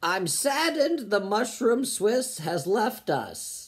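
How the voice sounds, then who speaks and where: A woman uses a raspy, put-on character voice with a high pitch. She speaks at a fairly slow pace with very wide pitch swings. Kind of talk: dramatic. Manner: solemn, mournful, eulogy-like.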